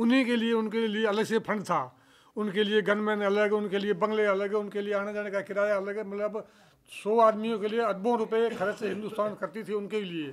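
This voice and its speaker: Speaking at a moderate pace, a man with a high pitch uses monotone, flat intonation. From Rajasthan. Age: 70s. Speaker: village elder; interviewee. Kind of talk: street interview. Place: home room. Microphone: handheld.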